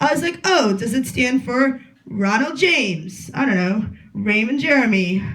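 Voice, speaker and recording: A woman speaks at a fairly slow pace with lively intonation. Audible room echo fills the recording. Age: 20s. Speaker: comedian. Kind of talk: stand-up. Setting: stage with audience.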